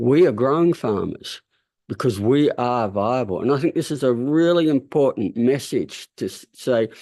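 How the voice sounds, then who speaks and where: A man with an Australian accent and a dark, mellow tone at a moderate pace, over a quiet background. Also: medium pitch for a man, ordinary pitch variation. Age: 70s. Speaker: farmer and interviewer. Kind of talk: interview discussion. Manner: halting.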